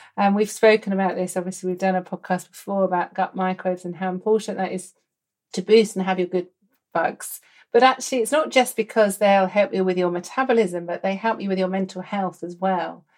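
A woman talks at a fairly quick pace with an English accent. Her pitch is medium, with ordinary variation. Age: 50s. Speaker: doctor and podcast host. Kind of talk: casual interview chat.

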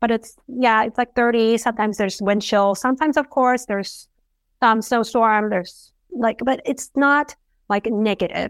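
A woman with a plain, everyday voice speaks at a moderate pace in a fairly high pitch, with fairly even intonation. The recording is very clean with a silent background, its sound dry and close with no echo. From abroad, moved to US at nine. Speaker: physician and productivity coach. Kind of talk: interview.

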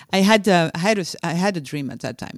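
With a French accent, a woman speaks at a moderate pace with lively intonation over a silent background in a very clean recording. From France. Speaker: leadership coach and author. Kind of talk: interview. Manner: halting.

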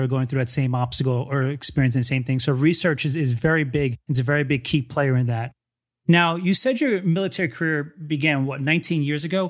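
On a very clean recording with a silent background, a man with an American accent talks at a fairly quick pace in a plain, everyday voice, pitched fairly high with ordinary variation. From New Jersey. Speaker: podcast host. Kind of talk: casual interview chat.

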